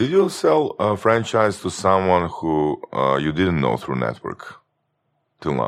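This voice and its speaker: A man talks at a fairly slow pace with a Croatian accent. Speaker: podcast co-host. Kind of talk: podcast interview.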